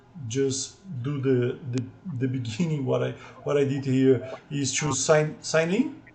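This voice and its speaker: A man speaks at a fairly slow pace with a medium pitch and fairly even intonation. There is audible room echo and noticeable background noise. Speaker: programming tutor. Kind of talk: tutorial. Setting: video call with screen sharing. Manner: halting, many repetitions.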